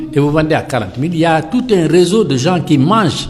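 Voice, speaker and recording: The man's fairly high voice is heard with audible room echo and noticeable background noise. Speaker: dialysis patient activist. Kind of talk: interview. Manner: animated.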